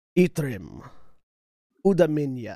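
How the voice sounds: This man puts on a character voice. He sits at medium pitch.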